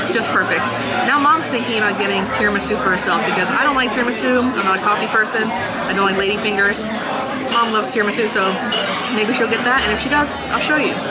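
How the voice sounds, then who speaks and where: Over music in the background, a woman talks at a very fast pace. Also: ordinary pitch variation. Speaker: food vlogger. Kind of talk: casual vlog chat. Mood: cheerful, enthusiastic. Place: cafe.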